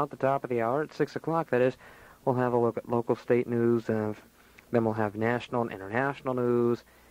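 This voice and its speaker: In a very clean recording with a silent background, a man talks at a moderate pace with medium pitch and a normal speaking voice. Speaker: radio DJ / on-air host. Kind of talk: radio show air check, casual host patter. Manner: casual, jokey, upbeat.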